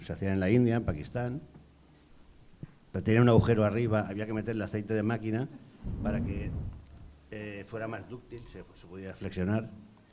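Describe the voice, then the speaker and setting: A man with a fairly low voice and a dark, mellow tone talks at a fairly quick pace with fairly even intonation. His loudness swings widely, and he leaves long, frequent pauses. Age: 60s. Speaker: former field hockey goalkeeper. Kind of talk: panel discussion.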